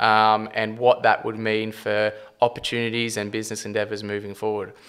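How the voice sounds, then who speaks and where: A man with an Australian accent speaks at a fairly low pitch. His delivery is monotone and flat, at a moderate pace. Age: 20s. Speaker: property developer and company CEO. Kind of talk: podcast interview. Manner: stumbling, rambling; casual, swears often.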